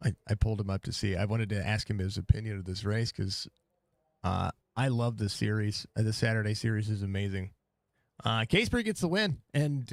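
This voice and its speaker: A man with an American accent and ordinary pitch variation, in a dry, close sound with no echo and a very clean recording with a silent background. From US South, Mississippi. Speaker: sim racing broadcaster. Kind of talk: live race commentary; casual post-race chat. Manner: animated.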